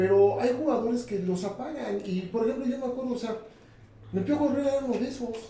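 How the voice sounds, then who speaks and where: The speaker sounds animated and talks at a very fast pace over noticeable background noise. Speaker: sports show co-host. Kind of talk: casual sports debate.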